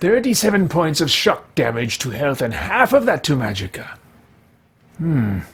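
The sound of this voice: A man does a put-on character voice with a fairly high pitch and a husky, rough edge. He talks at a fairly slow pace with big pitch swings.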